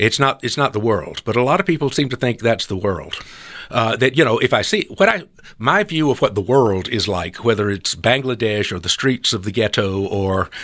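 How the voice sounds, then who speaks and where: A man speaks with a Southern US accent at a medium pitch. His intonation is lively and his pace moderate. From US South, South Carolina. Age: 70s. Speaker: retired editorial cartoonist. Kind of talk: interview conversation.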